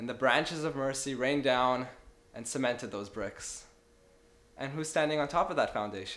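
The pace here is moderate. A man's voice shifts pitch in a normal, ordinary way. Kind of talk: sermon-like speech to camera. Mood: earnest, smiling. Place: home room. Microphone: phone near.

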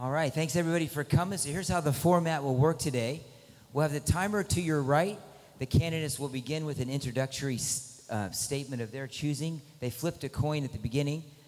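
With music playing in the background, this man races along very fast, his pitch varying in an ordinary way. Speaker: teacher moderating a debate. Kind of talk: announcement to an audience. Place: hall. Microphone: handheld.

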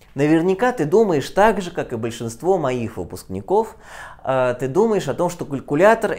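A man's voice with very wide swings in pitch. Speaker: physics teacher. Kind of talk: lecture. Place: classroom. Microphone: lapel.

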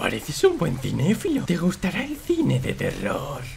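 A man puts on a character voice at a moderate pace. Background noise is clearly audible. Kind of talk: comedic parody dub. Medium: dub.

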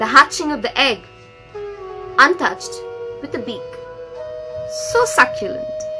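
Clear music plays in the background as a woman speaks at a moderate pace, with long, frequent pauses and big swings in loudness. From India, West Bengal. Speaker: writer, poet and narrator. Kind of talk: poetry reading. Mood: calm, reflective. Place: home room. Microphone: phone near.

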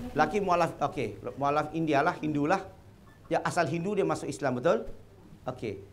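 With an animated tone, a man talks at a moderate pace over light background noise. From Malacca, Malaysia; Malaysia. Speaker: convert preacher; speaker. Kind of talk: religious talk to audience. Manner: animated, questioning audience. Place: hall. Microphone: lapel.

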